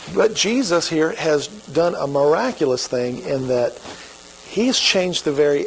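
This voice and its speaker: Over noticeable background noise, a man with an American accent speaks at a fairly slow pace, his fairly high pitch carried by lively intonation. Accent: Oklahoma redneck. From Oklahoma. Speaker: pastor. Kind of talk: sermon. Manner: casual, conversational.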